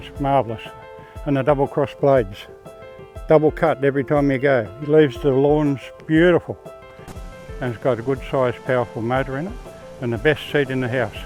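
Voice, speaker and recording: Fairly quick speech in an Australian accent, with ordinary pitch variation, long, frequent pauses and music in the background. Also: man, fairly high pitch for a man. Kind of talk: interview answer. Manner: casual, chatty.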